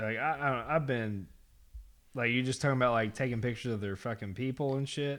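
In a very clean recording with a silent background, a man of medium pitch talks at a very fast pace with fairly even intonation. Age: 30s. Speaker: podcast host and pro wrestler. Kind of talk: casual chat.

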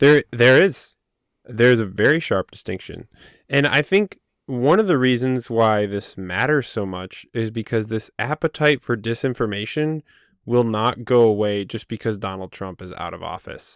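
On a very clean recording with a silent background and a dry, close sound with no echo, a man speaks in a normal speaking voice at a moderate pace with ordinary pitch variation. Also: medium pitch for a man, big swings in loudness. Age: 20s. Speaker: podcast co-host. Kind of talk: casual chat. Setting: home recording in closet.

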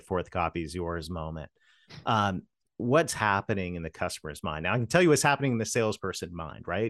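The pitch variation is ordinary. The background is quiet. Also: man. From Canada. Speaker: sales consultant. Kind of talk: interview.

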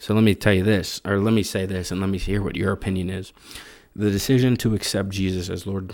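A man speaks at a fairly quick pace in a plain, everyday voice, his fairly low pitch carried by fairly even intonation. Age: 20s. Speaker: podcast co-host. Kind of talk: casual chat.

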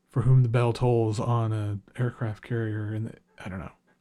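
The voice is somewhat breathy. A man talks in a dark, mellow tone. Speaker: music critic and podcast host. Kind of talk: solo monologue podcast. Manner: casual, rambling with many fillers.

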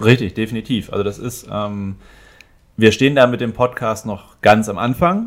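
An unremarkable speaking voice moves at a moderate pace with big swings in loudness. The recording is very clean, with a silent background. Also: man, medium pitch for a man, ordinary pitch variation. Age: 30s. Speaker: entrepreneur and business photographer, former teacher. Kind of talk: casual interview.

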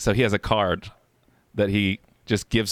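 With an American accent, a man is talking. His pitch is fairly low. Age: 30s. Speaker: podcast host and streamer. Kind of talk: casual chat. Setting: home recording in bedroom.

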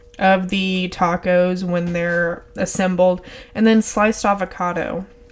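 Noticeable background noise sits behind a woman with an American accent. She speaks at a very slow pace. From Texas. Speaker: podcast host. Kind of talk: casual monologue. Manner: laid back.

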